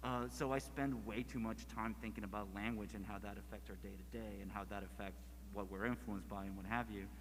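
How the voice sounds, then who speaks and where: Amid audible room echo, a man with a very deep, low pitch and vocal fry talks at a fairly quick pace. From Mexico, border region (Mexicali). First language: Spanish. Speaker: comics creator. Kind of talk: panel discussion. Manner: halting, many fillers and restarts.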